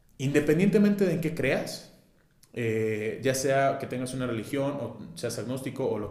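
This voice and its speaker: In a room with audible echo, a man speaks at a fairly slow pace with very wide pitch swings. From Mexico, Guadalajara. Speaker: entrepreneurship facilitator and consultant. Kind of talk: casual interview chat. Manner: animated, slangy.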